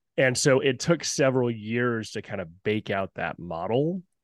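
An unremarkable speaking voice from a man with an American accent, medium in pitch with ordinary pitch variation, over a quiet background with a dry, close sound and no echo. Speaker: company founder and executive. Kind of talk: casual interview. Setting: video call.

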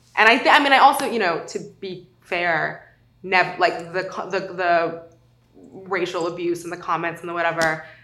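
With an American accent and a fairly low pitch, a woman speaks at a moderate pace with ordinary pitch variation, big swings in loudness and audible room echo. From South Lake Tahoe, California. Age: 20s. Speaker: podcast interviewee. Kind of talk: personal testimony interview. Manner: casual, filler-heavy.

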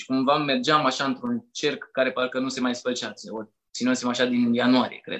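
Pitched at a medium level, a man talks at a moderate pace in a monotone, flat intonation. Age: 20s. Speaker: personal development content creator and notary. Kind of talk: casual chat.

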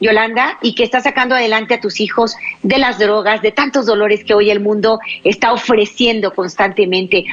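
A woman with a fairly high voice speaks at a moderate pace and very even loudness against noticeable background noise. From Mexico, Baja California Sur. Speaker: radio host, psychologist. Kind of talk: religious call-in radio show. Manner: animated.

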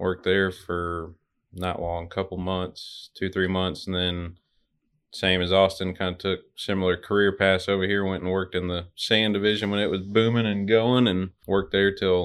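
Speaking in an Arkansas accent, a man uses a very deep, low pitch. His delivery is monotone and flat at a moderate pace. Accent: Southern US (Arkansas). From Little Rock, Arkansas. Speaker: truck dispatcher. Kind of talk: casual interview.

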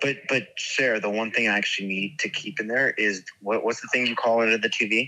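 A man talks at a fairly quick pace and medium pitch. Noticeable background noise is present. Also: ordinary pitch variation, hardly any pauses. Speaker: host's husband. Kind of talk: casual chat.

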